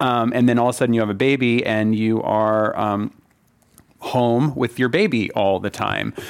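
A man speaks at medium pitch and moderate pace. His is an unremarkable speaking voice. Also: fairly even intonation. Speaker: marketing executive. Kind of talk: panel discussion. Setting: stage with audience.

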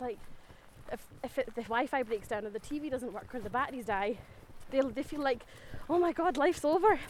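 Talking at a fairly quick pace, a woman with a Scottish accent uses lively intonation. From Scotland. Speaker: teacher, walk participant. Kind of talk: casual interview. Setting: outdoors on a forest walk.

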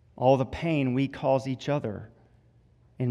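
A man in a Southern US accent speaks fairly slowly at medium pitch with a dark, mellow tone and fairly even intonation. The recording is very clean, with a silent background. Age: 30s. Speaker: campus minister. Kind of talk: sermon. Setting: church.

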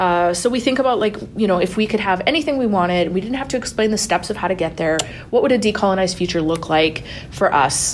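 Speaking at a very fast pace with lively intonation, a woman of medium pitch talks in a Canadian accent over noticeable background noise. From Lac Sainte Anne, Alberta, Canada. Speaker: podcast co-host and master's student. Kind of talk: casual interview chat.

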